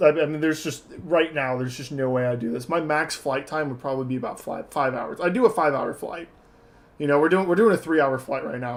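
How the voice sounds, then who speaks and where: An unremarkable speaking voice, this man's is fairly high in pitch and carries an American accent. He talks at a fairly quick pace with ordinary pitch variation. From Texas. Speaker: flight sim streamer. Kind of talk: live stream commentary. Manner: casual, conversational.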